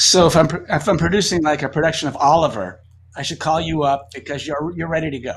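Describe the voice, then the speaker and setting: Talking at a very fast pace, a man with an American accent has a fairly high pitch and ordinary pitch variation. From US East Coast, Boston area. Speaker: magic creator. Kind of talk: casual interview chat.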